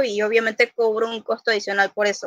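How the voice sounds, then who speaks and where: The speaker is a woman with a high pitch. Her tone is bright and sharp. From Panama City, Panama. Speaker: cosplayer and costume maker. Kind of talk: casual chat.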